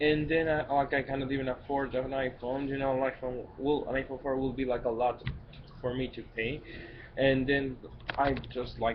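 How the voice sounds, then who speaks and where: A man with a Spanish accent talks at medium pitch and a moderate pace in a monotone, flat delivery, taking long, frequent pauses over noticeable background noise. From Mexico, Guadalajara. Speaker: vlogger. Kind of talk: personal vlog monologue. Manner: halting, many fillers and restarts.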